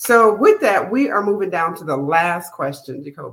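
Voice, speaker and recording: An ordinary speaking voice with an American accent and lively intonation. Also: woman. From Minnesota. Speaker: podcast host and life coach. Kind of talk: casual interview.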